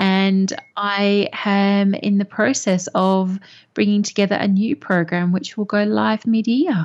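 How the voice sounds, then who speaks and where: In a quiet background, a woman speaks at a fairly slow pace with medium pitch, fairly even intonation and very even loudness. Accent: Australian. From Perth, Australia. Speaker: business mentor and coach. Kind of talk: interview.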